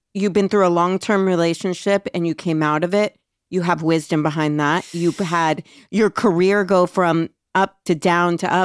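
In a very clean recording with a silent background and a dry, close sound free of echo, a woman with an ordinary speaking voice talks at a moderate pace and fairly low pitch, her loudness very even and her intonation fairly even. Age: 40s. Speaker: podcast co-host. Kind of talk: casual chat.

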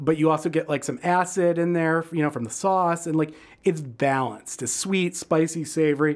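In a Midwestern American accent, a man talks at a fairly high pitch with fairly even intonation on a very clean recording with a silent background. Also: moderate pace. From Michigan, suburban Detroit. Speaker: food writer and critic. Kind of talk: casual interview.

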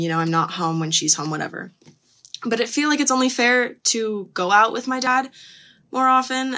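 A woman's ordinary speaking voice with lively intonation at a moderate pace. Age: 20s. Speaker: listener sending in a question. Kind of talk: voice message asking for advice.

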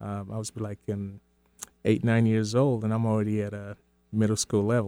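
Very fast and monotone, a man's fairly low, dark, mellow voice comes through in a dry, close sound with no echo. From Sierra Leone. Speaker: community organizer. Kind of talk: casual chat. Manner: halting.

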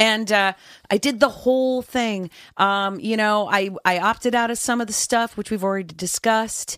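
A woman with an unremarkable speaking voice talks at a moderate pace and fairly high pitch in a very clean recording with a silent background. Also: fairly even intonation. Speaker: actress. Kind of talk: casual chat.

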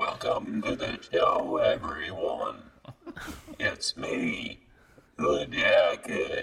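A put-on character voice speaks very slowly with long, frequent pauses and a clear echo. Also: man. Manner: eerie, ghostly.

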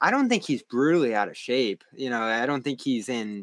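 The clip has a normal speaking voice with ordinary pitch variation. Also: man. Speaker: basketball analyst. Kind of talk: casual sports talk.

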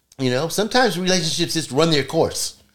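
Over a very clean recording with a silent background, a man with an American accent speaks very fast, fairly high in pitch, with vocal fry and lively intonation. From California. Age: 60s. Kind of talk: casual chat.

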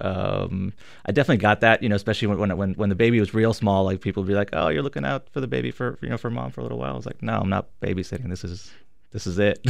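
Over a quiet background, a man talks at a very fast pace in a fairly low pitch, with vocal fry and very wide pitch swings. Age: 30s. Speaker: stay-at-home dad, parents' meetup organizer. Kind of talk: radio interview. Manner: halting, many fillers.

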